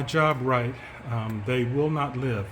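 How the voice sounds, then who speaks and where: Fairly slow and fairly even in intonation, a man talks at a medium pitch. Noticeable background noise and audible room echo surround him. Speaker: chicken keeper and educator. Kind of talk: casual explainer video. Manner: hesitant, many fillers.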